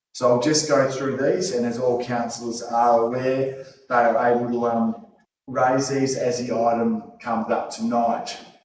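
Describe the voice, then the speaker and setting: In an Australian accent, the speaker goes at a fairly slow pace with monotone, flat intonation and audible room echo. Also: man, medium pitch for a man. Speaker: meeting chair. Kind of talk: formal meeting proceedings.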